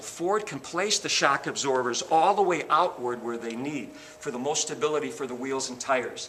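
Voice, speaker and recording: Against noticeable background noise, a man with a fairly high pitch and lively intonation speaks at a moderate pace. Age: 60s. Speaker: car salesman. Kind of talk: sales pitch. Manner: animated.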